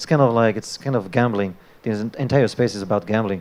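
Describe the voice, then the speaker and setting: A man of medium pitch talks at a very fast pace with fairly even intonation. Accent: French. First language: French. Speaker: debater, crypto investor. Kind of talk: live panel debate.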